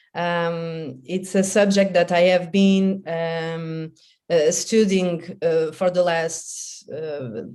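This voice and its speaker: A woman with a French accent, fairly low pitch and a dark, mellow tone, with fairly even intonation at a very slow pace, in audible room echo. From France. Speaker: professor. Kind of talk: conference presentation. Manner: halting.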